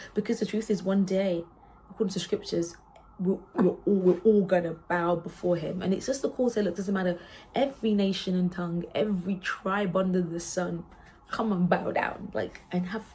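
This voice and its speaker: A woman's somewhat breathy voice, dark and mellow in tone, moves at a moderate pace with fairly even intonation. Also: medium pitch for a woman. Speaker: worship singer and vlogger. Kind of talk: casual chat. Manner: halting.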